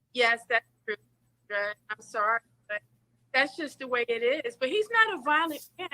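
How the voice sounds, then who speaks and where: A woman speaks in a raised, projected voice at a high pitch and a moderate pace. The sound is dry and close, with no echo. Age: 50s. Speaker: dating show participant. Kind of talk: personal testimony on a dating show.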